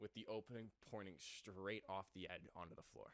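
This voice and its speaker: Someone with a Canadian accent talks at a moderate pace with fairly even intonation. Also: man. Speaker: podcast co-host. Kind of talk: casual chat. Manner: halting.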